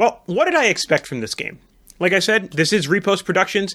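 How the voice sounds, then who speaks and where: The voice is raised and projected, bright and sharp in tone, moving at a fairly quick pace. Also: man. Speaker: board game podcast host. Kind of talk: snap review monologue; casual chat. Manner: fast.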